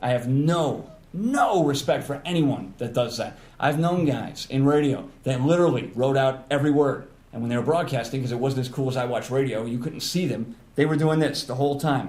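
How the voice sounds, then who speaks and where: Audible room echo surrounds a man's somewhat breathy voice. He speaks at a fairly quick pace with a fairly high pitch and ordinary pitch variation. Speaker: radio personality. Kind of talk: casual chat. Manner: fast.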